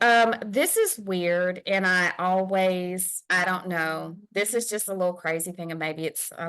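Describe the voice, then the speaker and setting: A woman with a Southern US accent, medium pitch, ordinary pitch variation and a moderate pace, against a quiet background. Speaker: podcast co-host. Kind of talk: casual chat.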